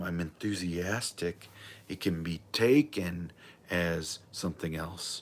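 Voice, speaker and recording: A man with a very deep, low pitch speaks in an angry tone. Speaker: livestreamer, self-help talker. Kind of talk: solo livestream monologue. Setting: live video stream. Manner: loud, sounds confrontational or angry; rambling, enthusiastic.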